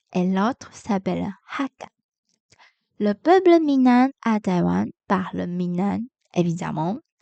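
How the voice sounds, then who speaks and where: A woman with a Taiwanese accent, medium in pitch, at a very slow pace. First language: Mandarin Chinese (speaking French). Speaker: podcaster, French learner. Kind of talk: educational podcast monologue. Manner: halting, many hesitations.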